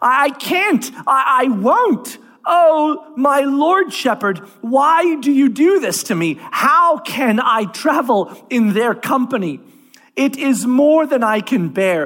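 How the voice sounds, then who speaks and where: A put-on character voice goes at a very slow pace with a high pitch. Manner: desperate, gasping.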